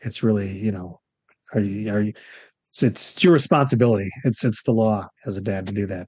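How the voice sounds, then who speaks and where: A man with an American accent talks a bit quickly in a fairly low voice with ordinary pitch variation, a normal speaking voice. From Florida. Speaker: financial planner. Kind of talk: casual chat. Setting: video call.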